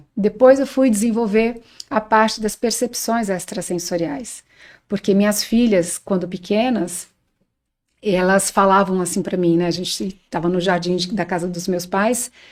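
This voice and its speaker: This woman has an ordinary speaking voice at a medium pitch with ordinary pitch variation. She talks at a fairly slow pace. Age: 60s. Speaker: spiritual teacher on astral projection and bioenergy. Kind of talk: podcast interview, personal testimony.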